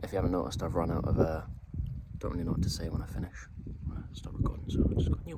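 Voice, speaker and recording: Very deep and low, a man's voice races at a very fast pace with lively intonation, with audible room echo and noticeable background noise. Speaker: hiking vlogger. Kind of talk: outdoor vlog narration. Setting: outdoors on a mountain hike.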